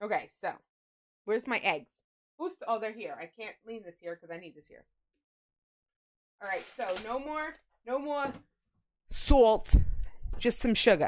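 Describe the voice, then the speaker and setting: A woman with a slight Long Island accent speaks in a fairly high voice, her pitch swinging very widely, with long, frequent pauses. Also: fairly slow pace, big swings in loudness. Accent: slight New York accent, sounds Long Island. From New York. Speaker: streamer. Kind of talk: live-stream baking chat. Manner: loud; casual, chatty.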